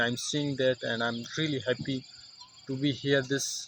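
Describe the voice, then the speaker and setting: Over noticeable background noise, a man with a Pakistani accent speaks at a moderate pace in a medium-pitched voice with monotone, flat intonation. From Pakistan, Mansehra. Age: 20s. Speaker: English learner vlogger. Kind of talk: casual vlog monologue. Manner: halting, many fillers and restarts.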